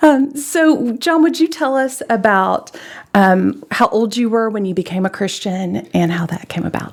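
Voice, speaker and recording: A woman with a Southern US accent speaks at a fairly high pitch, her pitch swinging very widely. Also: fairly slow pace. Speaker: church interviewer. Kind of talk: interview. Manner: halting.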